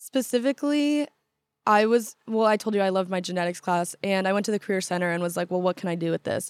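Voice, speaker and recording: The recording is very clean, with a silent background and a dry, close sound with no echo. A woman with an American accent talks very fast at a medium pitch, with ordinary pitch variation. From Southern California, Orange County. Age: 20s. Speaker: college student. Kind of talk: casual interview.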